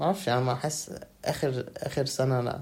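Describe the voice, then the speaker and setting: A man's voice comes out somewhat breathy. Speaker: podcast guest, university student. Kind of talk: casual chat. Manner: soft-spoken.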